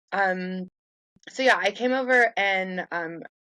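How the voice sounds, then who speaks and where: A woman speaks with an American accent at a medium pitch. Her tone is bright and sharp, and the sound is dry and close with no echo. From United States. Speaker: neuroscience researcher and lecturer. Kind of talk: casual interview. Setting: remote call from home.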